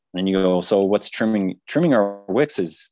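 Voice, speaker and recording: Recorded dry and close with no echo, in a very clean recording with a silent background, a man with a plain, everyday voice speaks at a moderate pace and a fairly low pitch. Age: 40s. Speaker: author and researcher. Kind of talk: interview.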